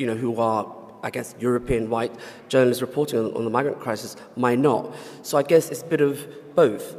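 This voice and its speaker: A man's medium-pitched voice at a fairly quick pace, with fairly even intonation, long and frequent pauses, and noticeable background noise. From Somalia. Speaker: freelance journalist. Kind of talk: panel discussion.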